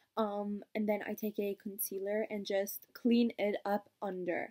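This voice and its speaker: A dark, mellow tone comes through against a quiet background. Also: woman. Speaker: beauty vlogger. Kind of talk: casual makeup tutorial vlog chat.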